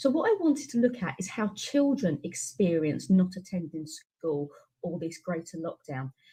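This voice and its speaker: A woman with a British accent speaks at a moderate pace and medium pitch, with very wide pitch swings. Her tone is dark and mellow and somewhat breathy. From UK. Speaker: education researcher and teacher. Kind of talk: webinar presentation. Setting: online webinar.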